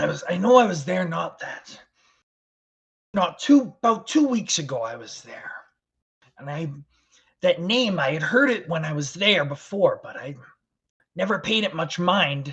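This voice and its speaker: A man's raspy, high-pitched put-on character voice with very wide pitch swings and long, frequent pauses. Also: moderate pace, big swings in loudness. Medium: actual play. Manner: halting, terse, reserved.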